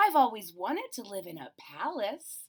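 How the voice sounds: A put-on character voice moves at a fairly slow pace with very wide pitch swings. The tone is fairly bright with a slightly husky edge. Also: woman, medium pitch for a woman.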